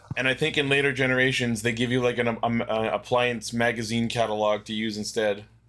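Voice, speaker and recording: A man with a medium-pitched voice talks at a fairly quick pace in a flat monotone, hardly pausing, over noticeable background noise. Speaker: podcast host. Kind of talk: casual chat.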